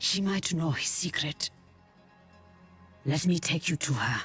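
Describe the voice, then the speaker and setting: Music plays in the background. The speaker uses a put-on character voice at a middle pitch. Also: fairly slow pace. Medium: video game. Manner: calm, resolute.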